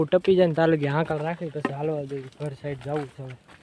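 A man speaks with a fairly high pitch and monotone, flat intonation. Noticeable background noise runs underneath. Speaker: cattle-herding vlogger. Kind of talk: casual vlog narration. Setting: outdoors with grazing cows.

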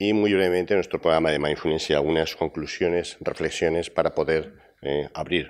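A man with a very deep, low pitch talks at a fairly quick pace, his intonation fairly even and his loudness very even. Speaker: university professor presenting a program; conference speaker. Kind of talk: conference talk. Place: hall.

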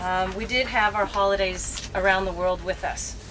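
Noticeable background noise can be heard as this woman speaks. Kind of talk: interview answer. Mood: relaxed, laughing. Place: boat.

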